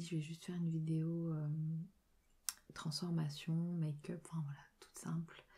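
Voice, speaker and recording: A soft-spoken woman talks in a very deep, low, somewhat breathy voice. Her tone is dark and mellow, and her intonation is monotone and flat. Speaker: ASMR creator. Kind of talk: casual talk to camera while doing makeup. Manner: soft-spoken, low voice.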